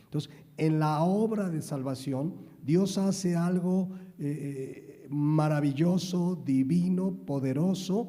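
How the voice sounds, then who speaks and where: In a room with audible echo, a man with a fairly high pitch speaks at a very slow pace with ordinary pitch variation. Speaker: pastor. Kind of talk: sermon.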